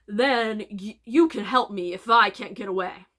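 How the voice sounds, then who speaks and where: In a growling, put-on character voice, a woman speaks at a moderate pace with a fairly high pitch. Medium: read story. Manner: demanding, blustering.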